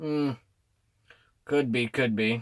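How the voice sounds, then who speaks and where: A man puts on a gruff character voice at a medium pitch. His intonation stays fairly even. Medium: read story. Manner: gruff, muttering.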